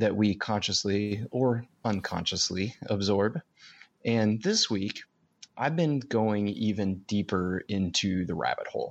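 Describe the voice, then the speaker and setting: A man with an unremarkable speaking voice and a fairly low pitch talks at a fairly slow pace with ordinary pitch variation. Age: 30s. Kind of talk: casual conversational podcast chat, storytelling.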